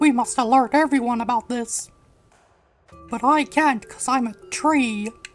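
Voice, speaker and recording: Over faint background music, a female-sounding voice does a strained, put-on character voice. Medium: solo performance. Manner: solemn, formal.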